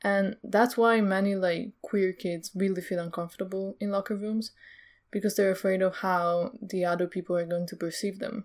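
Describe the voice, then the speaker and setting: A woman with a normal speaking voice talks at a moderate pace and medium pitch, her intonation fairly even, in a very clean recording with a silent background. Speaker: podcast co-host. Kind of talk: casual discussion.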